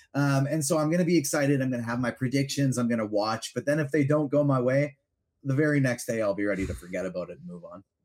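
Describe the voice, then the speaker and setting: Enthusiastic and lively in intonation, a man speaks at a very fast pace in a medium pitch. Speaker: podcast guest, fandom media host. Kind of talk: casual chat.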